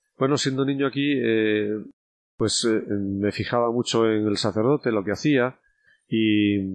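Speaking at a medium pitch with very even loudness and fairly even intonation, a man leaves long, frequent pauses. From Spain, León province village. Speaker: bishop. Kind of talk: casual interview.

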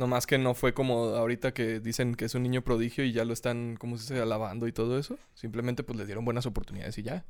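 In a Mexican accent, the speaker talks at a very fast pace with hardly any pauses. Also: man, medium pitch for a man. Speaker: podcast host. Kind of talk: casual chat. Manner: animated.

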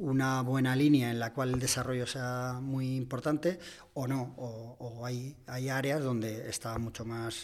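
A man with a medium-pitched voice talks at a fairly slow pace in a flat, monotone delivery. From Extremadura, Spain. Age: 40s. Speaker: ad-tech executive. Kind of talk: casual interview. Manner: halting with frequent repetitions.

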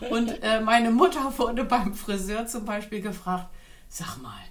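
A woman speaks at a fairly slow pace. Room echo can be heard. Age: 50s. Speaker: influencer. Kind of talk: casual chat.

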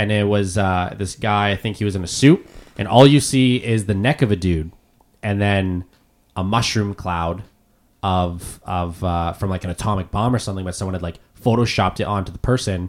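A man with a Canadian accent speaks at a moderate pace. His voice is fairly low, with ordinary pitch variation. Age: 20s. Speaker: podcast host. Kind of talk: casual chat. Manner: halting.

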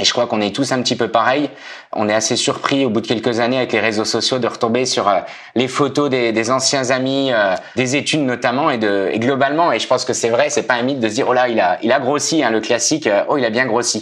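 Amid noticeable background noise, a man at medium pitch speaks at a fairly quick pace with fairly even intonation and very even loudness. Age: 30s. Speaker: amateur marathon runner. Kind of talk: podcast interview.

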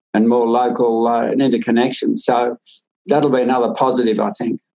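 A man in an Australian accent, at a medium pitch. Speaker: farmer and author. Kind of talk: interview conversation. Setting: video call.

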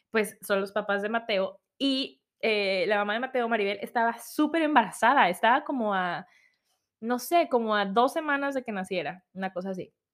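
This woman, in a Mexican accent, has a fairly high pitch and an animated tone. Her intonation is lively and her pace moderate. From Mexico. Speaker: podcast host. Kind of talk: casual personal storytelling. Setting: home recording at computer.

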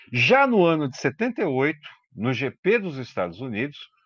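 The man speaks at a fairly slow pace. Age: 50s. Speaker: motoring journalist, podcast co-host. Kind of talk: casual chat. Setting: remote call.

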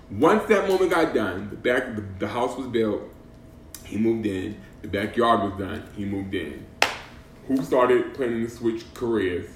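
With audible room echo and noticeable background noise, a man in an American accent speaks at a moderate pace and medium pitch with lively intonation. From Boston. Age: 40s. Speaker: podcast host. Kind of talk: casual chat. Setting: at a friend's house.

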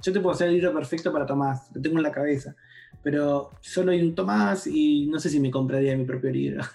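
A man talks at a fairly quick pace with a fairly high pitch and ordinary pitch variation. He has a plain, everyday voice. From Argentina, Campana (Buenos Aires province). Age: 40s. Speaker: philosopher and tech journalist. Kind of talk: casual interview conversation.

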